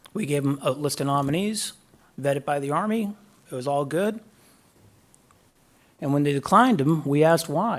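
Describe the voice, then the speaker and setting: The speaker has a Boston accent and talks at a moderate pace with ordinary pitch variation. Long pauses come frequently. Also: man, fairly high pitch for a man. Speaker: guest speaker, defense official. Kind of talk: graduation speech. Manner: halting.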